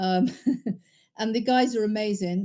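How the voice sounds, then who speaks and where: A woman with a British accent speaks at a fairly high pitch in a dark, mellow tone with fairly even intonation. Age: 60s. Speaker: course student and agency owner. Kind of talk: testimonial. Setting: video call from home bedroom. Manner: halting with fillers.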